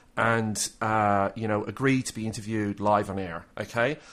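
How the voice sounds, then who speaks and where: A man with an Irish accent in a very clean recording with a silent background. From Ireland. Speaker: podcast host. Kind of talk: casual chat.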